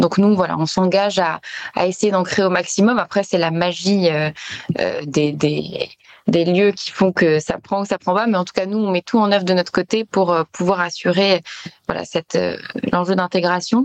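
Her intonation is fairly even, her pace moderate. The woman's voice sounds dry and close, with no echo. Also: medium pitch for a woman. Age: 30s. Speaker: property developer executive. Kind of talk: interview. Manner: hesitant, many fillers.

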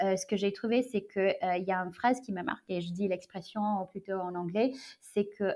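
Moderately paced, a woman's voice has a dark, mellow tone. Her pitch is medium, with ordinary variation. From United States (born in China). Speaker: startup CEO. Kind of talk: interview. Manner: halting, many fillers.

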